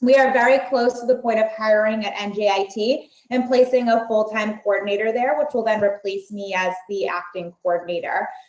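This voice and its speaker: Here is a woman with an unremarkable speaking voice and a fairly high pitch. She talks at a fairly quick pace with ordinary pitch variation and hardly any pauses. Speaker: university marketing director presenting admissions. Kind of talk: webinar presentation. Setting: online webinar with screen share.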